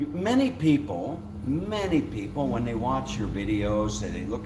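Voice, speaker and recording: Over noticeable background noise and audible room echo, a man speaks at a fairly slow pace. His pitch swings very widely. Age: 70s. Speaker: YouTuber. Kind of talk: casual chat.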